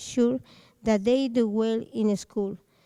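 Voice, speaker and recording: A woman speaks at a fairly slow pace in a fairly high pitch, her tone dark and mellow. Her intonation is fairly even, and the sound is dry and close with no echo. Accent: Spanish. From Mexico. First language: Spanish. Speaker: parent speaking at public comment. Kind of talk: public comment, reading prepared letter. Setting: school board meeting.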